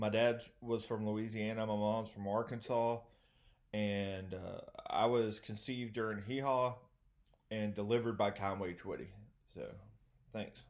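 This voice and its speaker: A man with a Southern US accent talks in a monotone, flat intonation at a fairly low pitch. His pace is fairly slow, broken by long, frequent pauses. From US South, East Texas. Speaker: comedian. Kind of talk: stand-up. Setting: remote video show.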